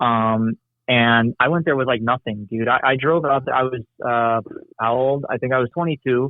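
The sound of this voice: Moderately paced speech from a man at a medium pitch, in an American accent with fairly even intonation. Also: dry, close sound with no echo.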